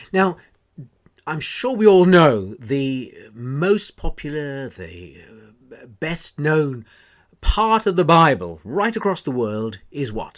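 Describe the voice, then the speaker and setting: Very slow delivery with very wide pitch swings and big swings in loudness, on a very clean recording with a silent background. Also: man, fairly high pitch for a man. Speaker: minister, radio broadcaster. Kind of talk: radio devotional talk, Thought for the Day. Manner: warm, encouraging, measured.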